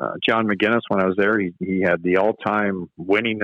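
The voice carries a Canadian Prairies accent. It moves fairly quickly in a flat monotone. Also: man. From Canada, Manitoba. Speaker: college hockey coach. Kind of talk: casual interview. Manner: frequent filler words and repetitions.

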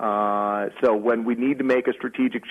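Here is a man with a plain, everyday voice. He has a medium pitch and an American accent. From San Diego, California. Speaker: startup company president. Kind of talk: business interview.

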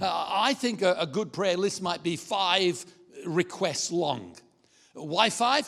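This is a man talking. He uses a high pitch for a man. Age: 70s. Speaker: pastor. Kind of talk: sermon. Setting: church. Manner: halting.

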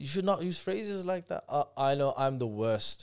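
Lively intonation in a Birmingham accent at a moderate pace, on a very clean recording with a silent background. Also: man. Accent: Birmingham English (Brummie). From Birmingham, England. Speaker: personal development course teacher. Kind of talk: casual chat.

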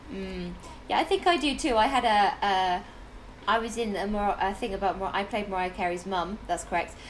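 A woman speaks at a moderate pace with ordinary pitch variation. Vocal fry runs through her voice. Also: medium pitch for a woman. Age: 30s. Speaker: podcast host and actor. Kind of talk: casual chat.

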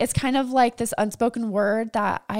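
Recorded in a dry, close sound with no echo, a woman talks at a fairly quick pace with fairly even intonation. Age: 20s. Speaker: podcast host. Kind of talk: solo podcast monologue.

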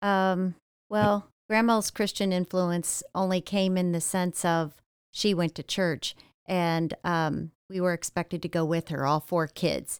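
A woman with a Midwestern American accent speaks at a fairly slow pace in a fairly low pitch, with fairly even intonation and very even loudness. The recording is very clean, dry and close, with a silent background and no echo. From Ohio, US Midwest. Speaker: church member sharing testimony. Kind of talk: testimony. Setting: studio. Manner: hesitant, many fillers.

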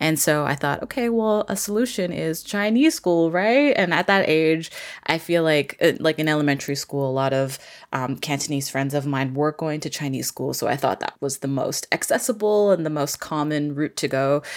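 This woman's pitch is very deep and low. She speaks with a Canadian accent and lively intonation. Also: moderate pace. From Vancouver, Canada. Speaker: story artist and community founder. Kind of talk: casual interview conversation.

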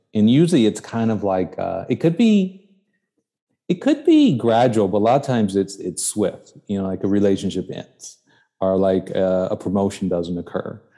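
In an American accent, a man speaks with a dark, mellow tone and ordinary pitch variation. The background is quiet. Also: fairly low pitch for a man, moderate pace. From Chicago, South Side. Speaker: podcast host. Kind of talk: casual interview conversation. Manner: halting, repeats words.

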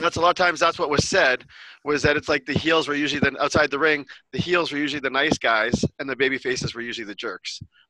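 Very fast speech from a man with a fairly high pitch, a bright, sharp tone and fairly even intonation, in a dry, close sound with no echo. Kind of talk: casual group chat. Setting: video call.

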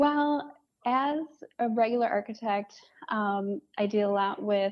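The speaker talks with lively intonation in a Michigan accent. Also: woman. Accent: Michigan (Inland North) American. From Metro Detroit, Michigan. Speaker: architect. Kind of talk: interview.

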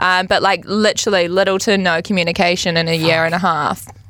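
A woman's fairly low voice in a New Zealand accent, bright and sharp in tone, monotone and flat, at a very fast pace. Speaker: reality TV star. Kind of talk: casual chat.

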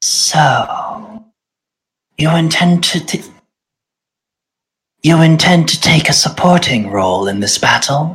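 The speaker uses a put-on character voice at a middle pitch. The delivery is fairly slow, with long, frequent pauses. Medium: actual play. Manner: cool, measured.

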